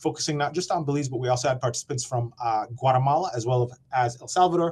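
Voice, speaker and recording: A man talks at a very fast pace at medium pitch. His voice is somewhat breathy with ordinary pitch variation. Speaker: program presenter at forest monitoring webinar. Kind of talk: conference presentation.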